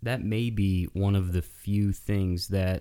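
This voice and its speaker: A man's very deep, low voice in a monotone, flat intonation at a fairly slow pace, in a very clean recording with a silent background. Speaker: podcast co-host. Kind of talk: casual banter podcast.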